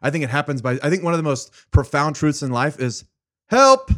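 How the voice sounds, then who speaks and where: A man talks at a fairly quick pace in a fairly high pitch, with ordinary pitch variation and an animated tone. The recording is very clean, with a silent background. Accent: American. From California (Fresno). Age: 30s. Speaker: guest, networking consultant. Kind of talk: casual interview chat.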